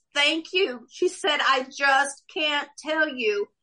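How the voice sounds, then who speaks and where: Raised and projected, a woman's high, bright, sharp voice carries ordinary pitch variation. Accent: American. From Oklahoma. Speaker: author and former cafe owner. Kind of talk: casual interview, personal testimony.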